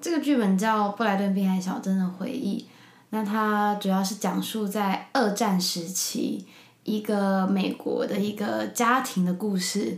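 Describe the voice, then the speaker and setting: Somewhat breathy, a woman speaks at a medium pitch and a fairly slow pace with fairly even intonation. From Taiwan, Taipei. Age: 20s. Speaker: podcast guest, drama graduate. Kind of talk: casual interview chat.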